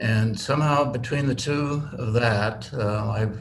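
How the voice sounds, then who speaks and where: A man speaks at a fairly low pitch with vocal fry and ordinary pitch variation. Room echo is audible. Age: 70s. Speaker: tensegrity model builder. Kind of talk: casual chat. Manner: halting.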